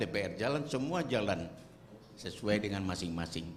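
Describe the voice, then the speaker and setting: A man speaks at a moderate pace in a fairly low pitch with lively intonation. The room echo is audible. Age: 70s. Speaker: retired army general and activist. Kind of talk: speech at a forum.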